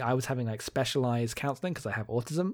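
A man with a British accent speaks at a medium pitch, his intonation lively. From Britain. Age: 20s. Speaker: podcast host. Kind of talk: casual chat.

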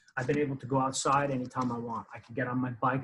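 Very fast and medium-pitched, a man speaks with a Canadian accent. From Canada. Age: 30s. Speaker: traveler and teacher. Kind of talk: casual chat. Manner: animated.

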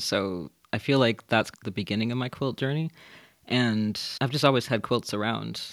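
A man speaks at a medium pitch and a moderate pace, with ordinary pitch variation. The recording is very clean, with a silent background and a dry, close sound with no echo. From Minnesota. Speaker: textile artist and sociologist. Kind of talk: group conversation. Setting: quilting studio. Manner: halting, with hesitations.

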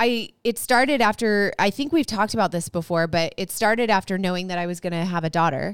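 Words come at a very fast pace with lively intonation and hardly any pauses. The recording is very clean, with a silent background. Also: woman, medium pitch for a woman. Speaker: podcast co-host and author. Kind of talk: casual chat. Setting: live stream recording.

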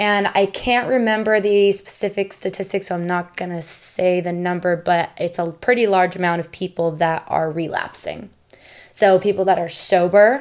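A normal speaking voice with fairly even intonation and a moderate pace. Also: woman, medium pitch for a woman. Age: 20s. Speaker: podcast guest. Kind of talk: casual chat. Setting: studio.

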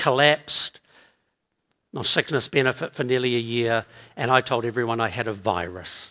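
A man with a New Zealand accent, a bright, sharp tone and ordinary pitch variation, long, frequent pauses, dry, close sound with no echo and a quiet background. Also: medium pitch for a man, moderate pace. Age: 60s. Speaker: pastor. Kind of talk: sermon. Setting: church with congregation.

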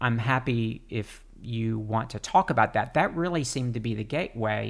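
A man uses a normal speaking voice at a medium pitch with ordinary pitch variation, captured on a very clean recording with a silent background. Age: 50s. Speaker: podcast host, veteran paramedic. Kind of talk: interview conversation.

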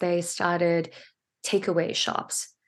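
This woman has a medium-pitched voice and speaks with a New Zealand accent. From New Zealand, Auckland. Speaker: actress. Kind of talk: casual interview chat.

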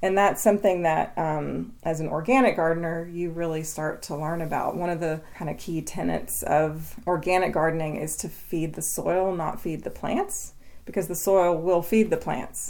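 A woman with a fairly low pitch speaks with fairly even intonation, and audible room echo surrounds her voice. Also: moderate pace. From East Tennessee (Athens). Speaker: author and gardener. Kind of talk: interview. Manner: casual with fillers.

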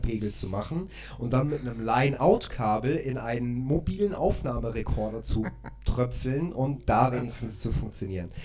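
A man's medium-pitched voice is heard while music plays behind it. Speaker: podcast host. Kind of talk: casual interview. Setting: live recording with mobile recorder. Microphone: mobile recorder, poor quality.

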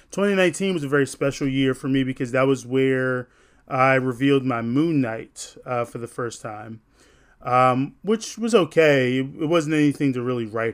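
This man's voice sits fairly high in pitch, with an animated tone. He keeps a moderate pace. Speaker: podcast host. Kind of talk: radio DJ patter: upbeat, chatty podcast host recap. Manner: animated, friendly, casual with slangy energy; fluent but with filler words and self-corrections.

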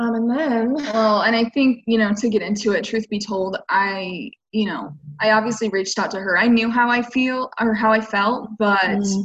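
A woman with an American accent talks at a moderate pace in an ordinary speaking voice. Her pitch is fairly high and her intonation fairly even. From Idaho, US. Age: 20s. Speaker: podcast guest. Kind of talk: casual chat.

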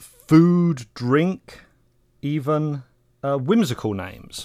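A man with an English accent talks with ordinary pitch variation. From England. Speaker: astronomer. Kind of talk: interview.

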